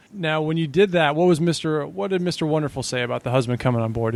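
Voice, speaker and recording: A man is speaking. His pace is very fast. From not Boston. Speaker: podcast host. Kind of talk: interview.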